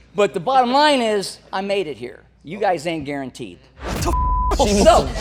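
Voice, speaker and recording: Over noticeable background noise and audible room echo, a man speaks at a fairly slow pace in a high pitch with an animated tone. His pitch swings very widely and his loudness jumps up and down a lot. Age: 60s. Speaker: older guest in a generational debate. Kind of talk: heated debate.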